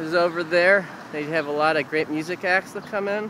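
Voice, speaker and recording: A relaxed man with an American accent, in a dry sound with no echo and noticeable background noise. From US Midwest, Missouri. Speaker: amateur video maker giving a city tour. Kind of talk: informal walking-tour narration to a friend, pointing out landmarks on camera. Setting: outdoors on city streets, handheld camera, traffic noise. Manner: rambling and hesitant, lots of uh and um fillers and self-corrections; friendly, relaxed, slightly raised over traffic noise. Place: street. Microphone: phone near.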